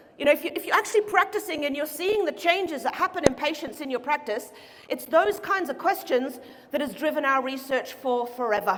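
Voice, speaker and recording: A woman speaks at a fairly quick pace with a high pitch and very wide pitch swings. Noticeable background noise runs underneath. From Norway. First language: Norwegian. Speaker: chiropractic researcher. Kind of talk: conference talk. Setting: stage with audience. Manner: fast.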